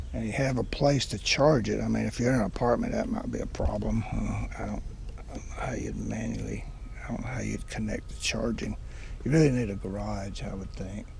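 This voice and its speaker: There is audible room echo and noticeable background noise. A man speaks at a fairly quick pace. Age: 70s. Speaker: car owner reviewer. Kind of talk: casual video review. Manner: halting.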